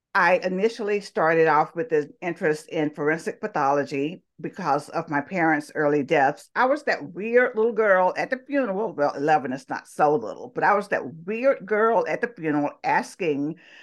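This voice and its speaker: Against a quiet background, a woman with a Southern US accent talks at a moderate pace with hardly any pauses, her fairly low pitch swinging very widely. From US South, Talladega, Alabama. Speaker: interview guest. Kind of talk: interview.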